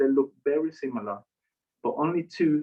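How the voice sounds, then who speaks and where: A man with a Spanish accent talks at a fairly slow pace with ordinary pitch variation. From Mexico. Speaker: chef and cactus researcher. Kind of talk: online talk, casual interview.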